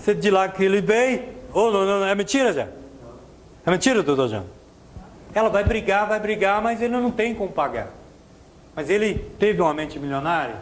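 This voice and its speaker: A man's high-pitched voice at a moderate pace, with ordinary pitch variation, against noticeable background noise. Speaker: motivational speaker. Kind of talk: seminar talk. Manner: animated.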